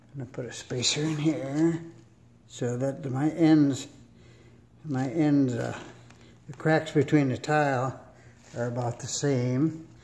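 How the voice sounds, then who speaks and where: A man's somewhat breathy, fairly high voice, fairly slow with fairly even intonation and long, frequent pauses. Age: 70s. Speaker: DIY home renovator, airplane mechanic. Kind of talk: casual tutorial. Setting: at home, laying tile in a room. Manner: relaxed, halting with fillers.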